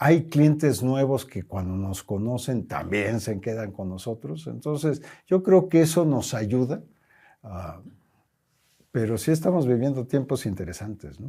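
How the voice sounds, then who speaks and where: Somewhat breathy and dark, mellow in tone, a man at a medium pitch speaks at a fairly slow pace with very wide pitch swings and big swings in loudness, on a very clean recording with a silent background. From Mexico. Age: 70s. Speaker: company president. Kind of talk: interview.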